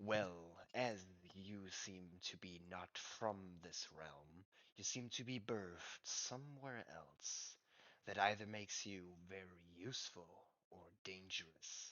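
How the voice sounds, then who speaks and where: The pace is fairly slow. The speaker is doing a put-on character voice. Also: man, very deep, low pitch for a man. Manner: cryptic, knowing.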